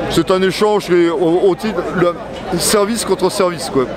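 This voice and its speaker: Crowd noise runs in the background. A man with a high voice speaks at a moderate pace. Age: 60s. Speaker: retired army officer at a protest. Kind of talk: street interview. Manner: hesitant, many fillers.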